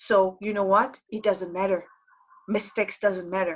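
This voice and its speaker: With a non-native accent, a woman speaks at a fairly slow pace in a monotone, flat delivery at medium pitch. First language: Hebrew. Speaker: Hebrew teacher. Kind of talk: lecture. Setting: online event. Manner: confident.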